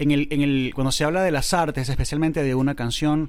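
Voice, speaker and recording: A man with a normal speaking voice at medium pitch. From Venezuela (Valencia), born in Córdoba, Argentina. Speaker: singer-songwriter and writer. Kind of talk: casual interview chat.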